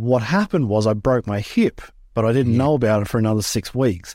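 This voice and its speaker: A man with an Australian accent speaks fairly quickly at medium pitch with ordinary pitch variation, in a dry, close sound with no echo. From Australia, rural Queensland. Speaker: former freestyle motocross rider, business manager. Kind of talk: interview.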